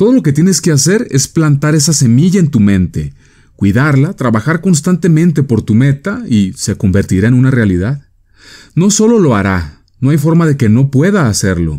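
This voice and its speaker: Keeping his loudness very even, a man speaks at a moderate pace and fairly high pitch with a dark, mellow tone and very wide pitch swings. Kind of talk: vintage radio motivational talk, persuasive address to the listener. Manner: earnest, authoritative, measured; persuasive, direct, rhetorical questions.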